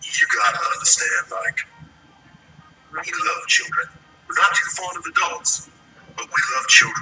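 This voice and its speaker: A man in a put-on character voice, moderate pace, with long, frequent pauses. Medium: read story.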